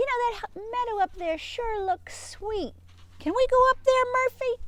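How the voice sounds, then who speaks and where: A woman's put-on character voice at an extremely high pitch and a moderate pace. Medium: read story.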